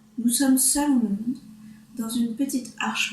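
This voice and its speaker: A woman's fairly high voice at a fairly slow pace. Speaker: reader. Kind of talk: read story.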